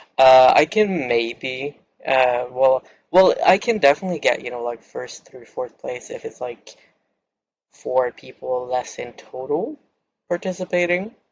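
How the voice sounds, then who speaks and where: A man talks at a fairly slow pace. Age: 20s. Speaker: gaming YouTuber. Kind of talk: casual gaming commentary.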